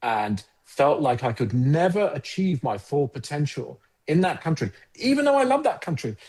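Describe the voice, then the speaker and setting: With a South London accent, a man speaks at a fairly quick pace in a dark, mellow tone, his pitch swinging very widely. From England, Croydon (South London). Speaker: advertising agency founder. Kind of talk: podcast interview.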